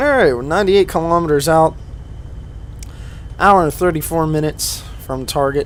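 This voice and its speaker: Over noticeable background noise, a man with a fairly high pitch speaks in a relaxed tone at a moderate pace, with ordinary pitch variation and long, frequent pauses. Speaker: gaming video creator. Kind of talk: gameplay commentary. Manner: casual, relaxed.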